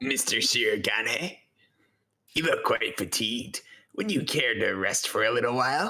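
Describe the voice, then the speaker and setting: Here a man uses a put-on character voice, raspy and at a medium pitch. His pace is moderate. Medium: game stream. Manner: formal, polished.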